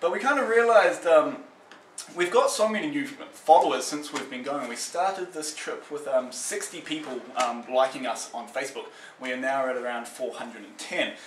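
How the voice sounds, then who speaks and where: A man with a New Zealand accent and a fairly high pitch speaks at a moderate pace with lively intonation and big swings in loudness, amid audible room echo and noticeable background noise. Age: 20s. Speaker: traveller on a charity march. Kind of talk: casual self-introduction video. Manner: halting, many fillers.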